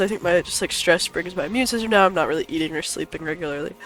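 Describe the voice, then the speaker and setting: With music playing in the background, a man speaks very fast with ordinary pitch variation. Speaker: gaming content creator. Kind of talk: casual talk to camera.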